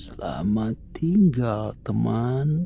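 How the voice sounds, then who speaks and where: A whispered, hoarse put-on character voice over clear background noise. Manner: whispering.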